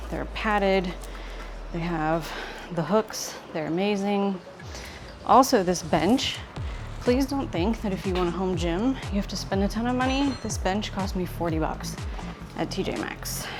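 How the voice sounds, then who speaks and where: With music in the background and audible room echo, a woman talks at a fairly slow pace with lively intonation and long, frequent pauses. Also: medium pitch for a woman. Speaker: fitness vlogger. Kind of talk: workout tutorial.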